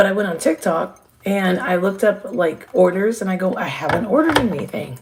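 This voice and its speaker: A woman speaks in an animated tone at a medium pitch. Her voice is somewhat breathy, and her pace is moderate. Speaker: live streamer. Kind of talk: casual chat. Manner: trying to be quiet.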